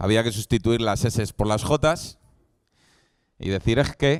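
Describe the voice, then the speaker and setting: On a very clean recording with a silent background and a dry, close sound with no echo, a man speaks very slowly at a fairly low pitch. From Spain, Valladolid (Castile). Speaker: preacher. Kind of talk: sermon. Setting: church event with live audience.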